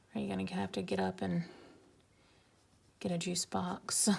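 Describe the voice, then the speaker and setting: A woman mumbles quietly at a moderate pace. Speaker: art YouTuber. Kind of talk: casual drawing commentary. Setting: home at night, filming alone. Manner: mumbling.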